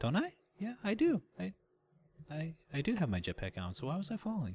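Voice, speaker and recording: A somewhat breathy man talks at a fairly slow pace with very wide pitch swings, in a very clean recording with a silent background. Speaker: gaming video creator. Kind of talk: gameplay commentary. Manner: halting; animated.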